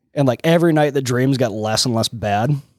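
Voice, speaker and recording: The recording is dry and close, with no echo. A man talks at a medium pitch. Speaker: podcast guest. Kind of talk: casual chat. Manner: animated, heavy swearing.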